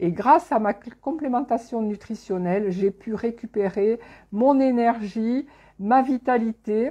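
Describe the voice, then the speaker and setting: Very slowly, a woman talks with a dark, mellow tone. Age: 60s. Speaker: network marketing distributor giving a nutrition talk. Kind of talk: live online presentation. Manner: halting, many hesitations.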